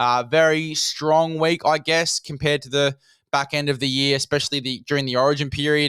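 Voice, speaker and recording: A man with an Australian accent, fairly high-pitched and bright and sharp in tone, at a fairly quick pace with fairly even intonation, in a dry, close sound with no echo. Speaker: fantasy rugby league podcast host. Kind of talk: solo podcast monologue. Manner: fast.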